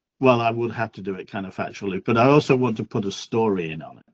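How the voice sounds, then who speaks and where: A man's medium-pitched voice with a northern English accent and ordinary pitch variation. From northern England. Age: 60s. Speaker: workshop attendee. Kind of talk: casual self-introduction in video call.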